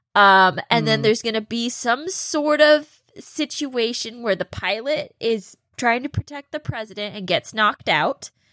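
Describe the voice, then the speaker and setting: With hardly any pauses, a woman speaks in a normal speaking voice at a fairly high pitch, the sound dry and close with no echo. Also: lively intonation, moderate pace. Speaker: podcast co-host. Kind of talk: casual banter. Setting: video call.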